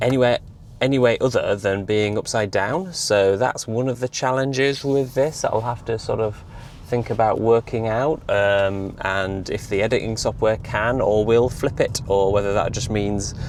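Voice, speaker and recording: A man's voice at medium pitch, with ordinary pitch variation. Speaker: EV vlogger. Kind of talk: casual vlog monologue. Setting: in a car. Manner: fast; hesitant, many fillers.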